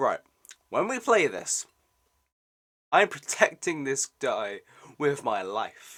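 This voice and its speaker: The speaker talks at a fairly slow pace in a British accent. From Britain. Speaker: gaming YouTuber reacting to a trailer. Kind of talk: casual reaction commentary. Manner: animated.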